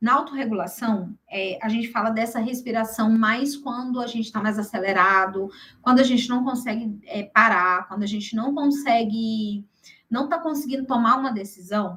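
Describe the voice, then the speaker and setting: In a Brazilian accent, a woman speaks at a moderate pace and fairly high pitch, with ordinary pitch variation and a bright, sharp tone. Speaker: workshop speaker, health professional. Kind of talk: workshop presentation. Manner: animated.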